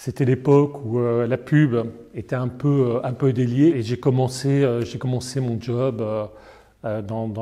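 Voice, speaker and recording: This man's dark, mellow voice keeps a fairly even intonation. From Paris, France. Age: 60s. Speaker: foundation director, former advertising executive. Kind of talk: interview testimony. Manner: hesitant, many fillers and repetitions.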